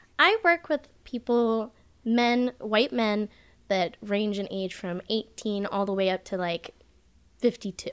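A woman's fairly high voice at a very slow pace, with ordinary pitch variation. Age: 20s. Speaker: electrician. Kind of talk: casual chat.

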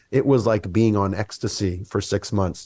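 A man's dark, mellow tone with an American accent, on a very clean recording with a silent background. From US South, Mississippi. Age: 40s. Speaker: wellness coach and musician. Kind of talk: casual chat.

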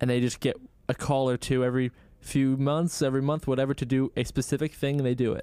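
Very fast speech from a man at a medium pitch, dark and mellow in tone, with fairly even intonation and a dry, close sound with no echo. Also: very even loudness. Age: 20s. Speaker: podcast co-host. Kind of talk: casual chat.

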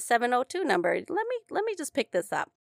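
A woman talks with an Upper Midwest accent. Her pace is fairly quick and her intonation lively. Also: dry, close sound with no echo. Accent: Upper Midwest American. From Minnesota. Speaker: podcast host. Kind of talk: casual interview. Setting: studio.

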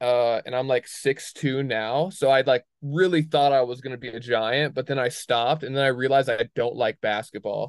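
A man speaks with an unremarkable speaking voice at medium pitch and a moderate pace. The sound is dry and close, with no echo. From moved around, military family (Wisconsin, Alaska, Connecticut). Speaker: skier and clothing brand founder. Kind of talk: casual chat.

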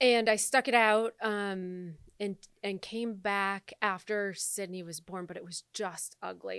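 Recorded very cleanly with a silent background and a dry, close sound with no echo, a woman with an American accent uses an ordinary speaking voice at medium pitch with fairly even intonation. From Michigan, US Midwest. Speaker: entrepreneur and coach. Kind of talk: casual chat.

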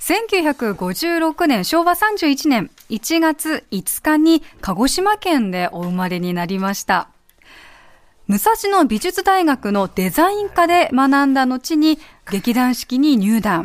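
A woman's high voice, very slow, with very wide pitch swings. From Kumamoto, Japan. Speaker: radio announcer, assistant host. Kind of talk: scripted narration of guest profile.

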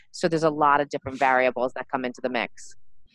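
Intonation stays fairly even. The speaker is a woman. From Montreal, Quebec. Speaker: influencer marketing company founder. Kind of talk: interview.

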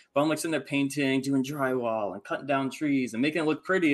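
On a very clean recording with a silent background, a man with a Midwestern American accent speaks at a fairly quick pace in a fairly high pitch. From Michigan, US Midwest. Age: 30s. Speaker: house flipper and real estate investor. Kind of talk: casual interview chat.

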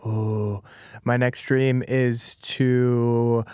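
A man with an American accent and flat, monotone intonation. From Las Vegas, US West. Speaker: professional fighter. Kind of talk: casual interview. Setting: studio, in person.

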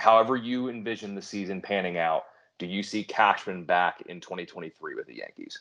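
This is a normal speaking voice with ordinary pitch variation. It moves at a moderate pace over a quiet background. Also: man. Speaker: fantasy baseball podcast host. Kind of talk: casual chat.

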